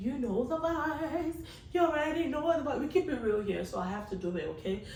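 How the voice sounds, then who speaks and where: Music plays in the background as a woman speaks, with audible room echo. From Africa. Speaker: vlogger / show host. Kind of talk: casual monologue to camera.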